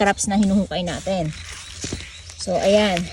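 A woman talks with flat, monotone intonation while background noise is clearly present. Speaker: farming vlogger. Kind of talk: farming tutorial vlog. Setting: outdoors on a farm.

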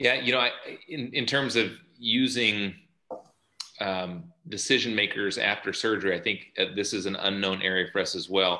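Against a quiet background, a man with a fairly low pitch and a bright, sharp tone speaks at a moderate pace with ordinary pitch variation and long, frequent pauses. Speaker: orthopedic surgeon; panelist. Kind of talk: webinar presentation. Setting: video call. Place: home room. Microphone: video call.

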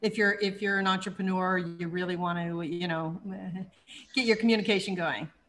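A woman speaks at a fairly quick pace. Her intonation stays fairly even over light background noise. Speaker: online show host and entrepreneur. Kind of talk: interview. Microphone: webcam.

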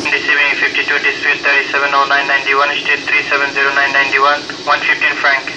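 A man talks at a very fast pace with very even loudness. There is noticeable background noise. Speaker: police dispatcher. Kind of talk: police radio dispatch. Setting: radio scanner.

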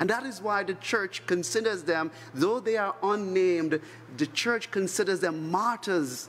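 At a fairly slow pace, a man talks at a high pitch with ordinary pitch variation. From Trinidad. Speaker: priest. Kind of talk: homily at Mass. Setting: church chapel. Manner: solemn, earnest, pastoral. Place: church. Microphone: podium.

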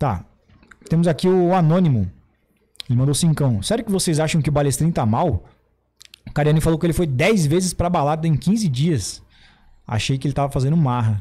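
Speaking at a fairly quick pace, a man uses a fairly high pitch with lively intonation and long, frequent pauses. His tone is dark and mellow, and somewhat breathy. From interior of São Paulo state, Brazil. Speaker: podcast host. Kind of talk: casual chat. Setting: studio. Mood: relaxed, informal advice. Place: studio. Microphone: studio mic.

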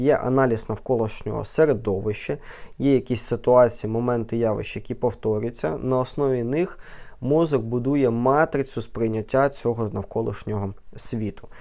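At a moderate pace, the speaker uses a dark, mellow tone and ordinary pitch variation. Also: man, medium pitch for a man. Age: 20s. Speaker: neurologist. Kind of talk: educational vlog talk.

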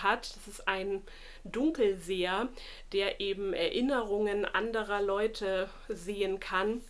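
A woman at a very slow pace with fairly even intonation. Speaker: book vlogger. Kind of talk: casual vlog chat. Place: home room.

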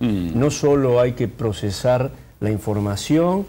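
There is a dark, mellow tone to this man's voice, along with lively intonation. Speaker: neurologist. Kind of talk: TV interview. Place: studio.

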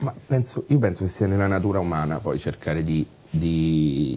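Ordinary pitch variation and a moderate pace from a male speaker. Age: 30s. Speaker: actor and writer; actor. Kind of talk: interview. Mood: reflective, candid. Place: bar.

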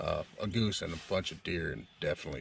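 Speech comes at a moderate pace with ordinary pitch variation. The sound is dry with no echo, over light background noise. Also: man. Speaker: hunting vlogger. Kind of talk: casual vlog chat. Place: tent.

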